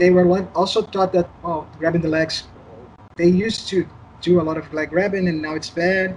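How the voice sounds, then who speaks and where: A man with a high pitch and a Portuguese accent, flat monotone intonation, a moderate pace, and noticeable background noise. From Brazil. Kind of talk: casual interview.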